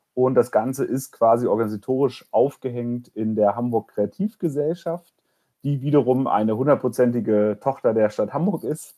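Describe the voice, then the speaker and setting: Moderate-paced speech from a man at medium pitch, with a dark, mellow tone and ordinary pitch variation. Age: 30s. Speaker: incubator program manager. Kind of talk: podcast interview. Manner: hesitant, many filler sounds.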